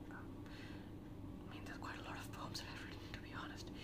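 A man amid loud background noise. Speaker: ASMR creator. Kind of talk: poetry reading of own poems. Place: home room. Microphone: lapel.

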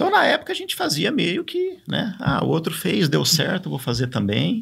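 A moderately paced male voice over a quiet background. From São Paulo state, Brazil. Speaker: cycling official and former cyclist; podcast guest. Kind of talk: casual interview. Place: studio. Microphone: studio mic.

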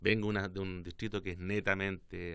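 Over a quiet background, a man with a very deep, low pitch speaks at a moderate pace with fairly even intonation. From southern Chile, Osorno; southern Chile. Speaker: politician. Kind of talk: interview. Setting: studio. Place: studio. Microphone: studio mic.

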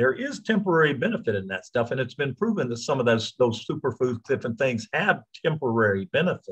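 A somewhat breathy man's voice at medium pitch with an American accent, very fast and with hardly any pauses, very wide pitch swings, and a quiet background. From United States. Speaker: supplement promoter. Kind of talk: interview. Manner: halting. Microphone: video call.

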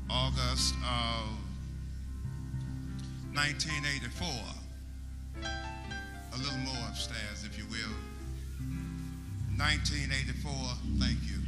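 Loud music plays in the background. The speaker goes at a very slow pace with long, frequent pauses. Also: man. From United States. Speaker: pastor. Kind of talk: funeral eulogy sermon. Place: church. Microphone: handheld.

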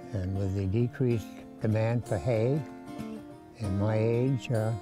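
A man's fairly low voice at a very slow pace, dry with no echo, over clear background music. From Maine, USA. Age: 90s. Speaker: farmer. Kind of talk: interview answer. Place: farm machine. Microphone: lapel.

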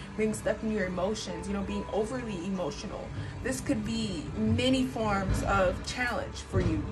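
Clear music plays in the background as the speaker goes at a moderate pace. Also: woman. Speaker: tarot reader. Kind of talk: tarot reading commentary. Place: home room. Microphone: phone near.

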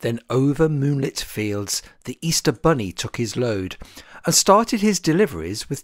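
Reading in an unforced voice

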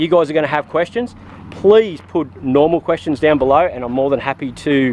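A man at a fairly quick pace with ordinary pitch variation, dry sound with no echo and light background noise. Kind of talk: tutorial. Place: street. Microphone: phone near.

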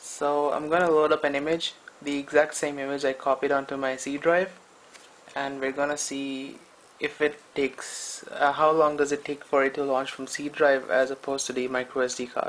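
A man with a fairly high pitch speaks at a moderate pace. His intonation is monotone and flat. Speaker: tech reviewer. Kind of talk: casual talk to camera. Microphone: phone near.

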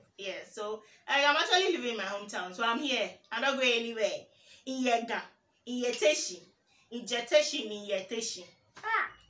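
A woman's high, animated voice with lively intonation, fairly quick but broken by long, frequent pauses, with audible room echo. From Ghana, Teshie (Accra, Ga); Ghana. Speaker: YouTuber. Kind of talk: casual vlog tag video. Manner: animated, laughing. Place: home room.

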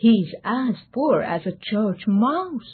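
Lively intonation in a natural reading voice

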